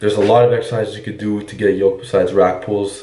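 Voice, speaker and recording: In a room with audible echo, a man speaks in a fairly low, dark, mellow voice that is somewhat breathy, with monotone, flat intonation. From Quebec. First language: French. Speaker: fitness coach. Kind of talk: Q&A monologue.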